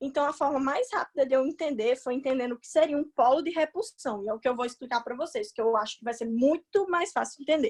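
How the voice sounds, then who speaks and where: A woman's high voice, very fast and lively in intonation, with a dry, close sound and no echo. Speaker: chemistry tutor. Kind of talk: online class lecture. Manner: casual.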